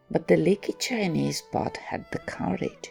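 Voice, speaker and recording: Music plays in the background as a woman talks. She is soft-spoken and keeps a fairly slow pace. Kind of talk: reflective commentary.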